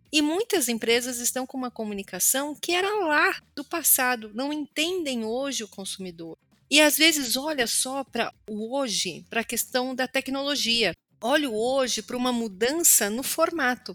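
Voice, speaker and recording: A woman's raised, projected voice, high in pitch with a bright, sharp tone, at a moderate pace, dry and close with no echo. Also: lively intonation. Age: 40s. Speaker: communication consultant and educator. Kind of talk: interview.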